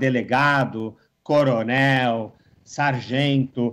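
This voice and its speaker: A man speaks at medium pitch with ordinary pitch variation. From Brazil, São Paulo. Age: young. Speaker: political scientist. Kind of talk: interview.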